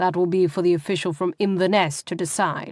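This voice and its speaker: Growling in a put-on character voice, a woman speaks at a medium pitch and a fairly quick pace with monotone, flat intonation, in a dry, close sound with no echo on a very clean recording with a silent background. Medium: read story. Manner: hard, clipped.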